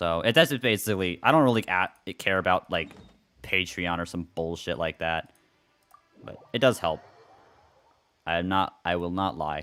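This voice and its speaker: His voice sits very deep and low, and the pitch varies in an ordinary way as the man talks. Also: moderate pace. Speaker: video game streamer. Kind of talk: casual live stream chat. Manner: halting, repeats himself; casual.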